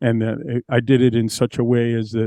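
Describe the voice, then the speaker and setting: An American-accented man with a dark, mellow tone speaks at a medium pitch, the sound dry and close with no echo. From New Mexico, USA. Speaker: blind singer-songwriter, guitarist and percussionist. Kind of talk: casual talk to camera.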